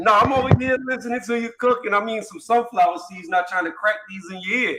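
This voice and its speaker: With an American accent, a man uses a raised, projected voice at a high pitch and a fairly quick pace, his loudness swinging widely while pitch varies in an ordinary way. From upstate New York, Syracuse. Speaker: boxing debate participant. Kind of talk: casual debate.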